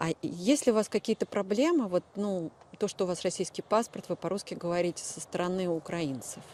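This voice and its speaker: With a strong Moscow accent, a woman speaks at medium pitch and a moderate pace, her tone dark and mellow. Her pitch varies in an ordinary way, and the sound is dry and close with no echo. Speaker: journalist. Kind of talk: interview. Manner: hesitant, many fillers.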